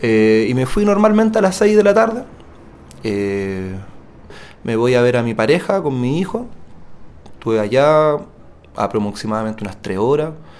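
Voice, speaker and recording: A man at a moderate pace, with very wide pitch swings and long, frequent pauses. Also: medium pitch for a man. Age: 30s. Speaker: wrongly accused prisoner. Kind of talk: testimony.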